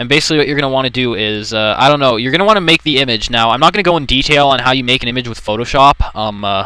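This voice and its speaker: A man talks at a very fast pace with hardly any pauses, over noticeable background noise. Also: medium pitch for a man, ordinary pitch variation. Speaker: let's play commentator. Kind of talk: software tutorial commentary. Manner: hesitant, rambling.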